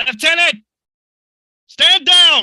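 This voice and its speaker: Pitching his put-on character voice extremely high, a man speaks. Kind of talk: period nautical stage drama. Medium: stage play. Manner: commanding, blustering.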